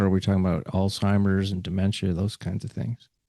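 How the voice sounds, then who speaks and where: Against a quiet background, a man talks in a dark, mellow tone with a dry, close sound and no echo. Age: 70s. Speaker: podcast host. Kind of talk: podcast interview. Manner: halting, many fillers.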